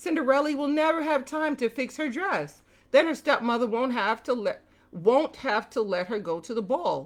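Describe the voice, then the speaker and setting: A woman's put-on character voice, pitched high. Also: moderate pace, very clean recording, silent background. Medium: read story.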